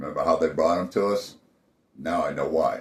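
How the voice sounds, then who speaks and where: This man speaks with an American accent. He keeps a moderate pace. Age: 60s. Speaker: army veteran, podcast host. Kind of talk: personal testimony and warning to fellow veterans. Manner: earnest, conversational.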